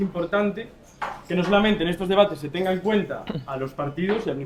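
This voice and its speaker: A man's high-pitched, very fast speech in an Asturian accent, with ordinary pitch variation and noticeable background noise. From Asturias, Spain. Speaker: civil society representative. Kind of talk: panel debate.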